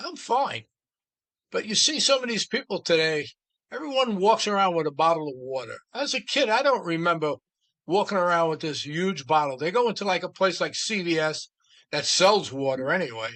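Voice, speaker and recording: A man speaks with a New York accent in a high pitch. His pitch swings very widely. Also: moderate pace. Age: 70s. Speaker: podcast host. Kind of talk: casual chat.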